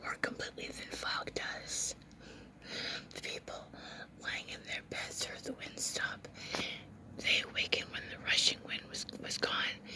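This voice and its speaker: Whispering at a fairly slow pace, a woman leaves long, frequent pauses over noticeable background noise. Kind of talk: whispered ASMR book reading. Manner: whispered, soft.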